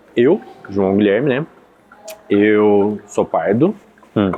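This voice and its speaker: A man's fairly low voice at a fairly slow pace, with noticeable background noise. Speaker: podcast host. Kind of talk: casual chat. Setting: café. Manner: animated.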